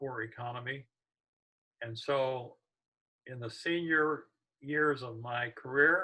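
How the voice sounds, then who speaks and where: This man's voice has a bright tone. It sounds sharp. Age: 80s+. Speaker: retired educator. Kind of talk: interview. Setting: video call. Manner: halting.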